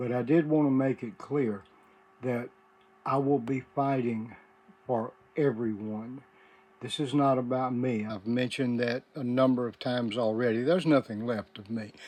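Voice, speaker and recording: Speaking in a Mississippi accent, a man keeps a medium pitch, a moderate pace and fairly even intonation. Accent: US Southern (Mississippi). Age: 70s. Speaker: former inmate turned activist vlogger. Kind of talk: personal video address.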